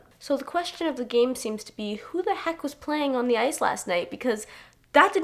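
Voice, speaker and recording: A woman at a moderate pace, animated in tone with very wide pitch swings, amid noticeable background noise. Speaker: sports vlogger. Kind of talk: casual vlog commentary.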